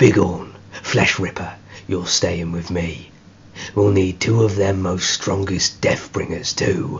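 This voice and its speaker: A man performs a put-on character voice, very deep and low in pitch, at a fairly slow pace. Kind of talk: audiobook character acting. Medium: read story. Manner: commanding, rough ungrammatical speech.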